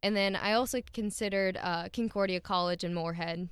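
Speaking with an Upper Midwest accent, a woman talks at medium pitch and a fairly quick pace with fairly even intonation. The recording is very clean, its background silent. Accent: Upper Midwest American. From South Dakota, Milbank. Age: 20s. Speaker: veterinary student. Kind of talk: interview. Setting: studio.

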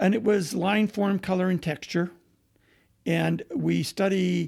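In an American accent, a man speaks with a dark, mellow tone and vocal fry on a very clean recording with a silent background. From eastern Washington, US. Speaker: museum curator. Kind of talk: interview.

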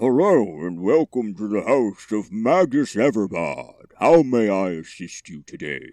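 In a put-on character voice, a man talks at a fairly low pitch and a fairly slow pace, with hardly any pauses. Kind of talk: polite, formal greeting.

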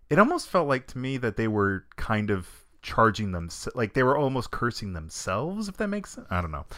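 In a very clean recording with a silent background, a man with an American accent talks fairly quickly at medium pitch in a bright, sharp tone, with very wide pitch swings and big swings in loudness. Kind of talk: casual chat.

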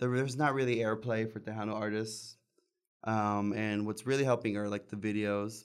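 A man with an American accent at a fairly low pitch, moderate pace and monotone, flat intonation, in a very clean recording with a silent background. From Texas Rio Grande Valley (Palmview, near Mission). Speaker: singer and bandleader. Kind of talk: casual chat.

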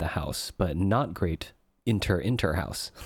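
A man talks at a moderate pace with lively intonation. The recording is very clean, with a silent background. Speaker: podcast co-host. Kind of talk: casual chat. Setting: at home, child sleeping next door. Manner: softer and deeper than usual; usually loud.

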